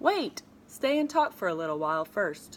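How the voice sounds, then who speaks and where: A woman at medium pitch performs a put-on character voice with very wide pitch swings. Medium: read story. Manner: earnest, eager.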